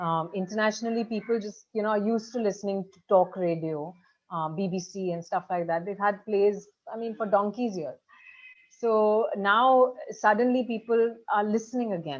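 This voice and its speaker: A woman talks at a moderate pace and medium pitch in an unremarkable speaking voice. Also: ordinary pitch variation, big swings in loudness. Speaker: actress and audiobook narrator. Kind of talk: interview.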